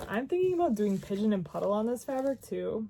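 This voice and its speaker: A woman with an American accent speaks at a moderate pace, somewhat breathy, in a dark, mellow tone. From Wisconsin, Milwaukee. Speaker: crafting vlogger. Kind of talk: casual chat. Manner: rambling, chatty.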